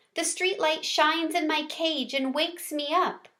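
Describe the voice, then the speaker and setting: A woman puts on a character voice at an extremely high pitch, speaking at a moderate pace. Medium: read story. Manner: soft-spoken, gentle.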